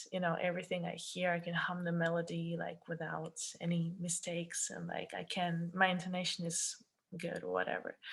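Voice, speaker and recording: The speaker has a Russian accent. The pace is moderate. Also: woman. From Russia, Kaliningrad. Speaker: singer-songwriter. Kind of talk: podcast interview.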